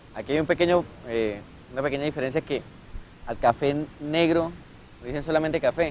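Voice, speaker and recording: With a fairly high pitch and ordinary pitch variation, a man talks at a fairly quick pace but leaves long, frequent pauses. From Colombia, Cúcuta. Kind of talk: documentary interview testimony.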